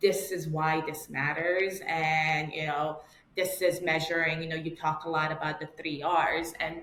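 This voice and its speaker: Very deep, low-pitched female voice, monotone, flat intonation, fairly slow pace, audible room echo. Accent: New York. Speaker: marketing director. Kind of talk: podcast interview. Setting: call.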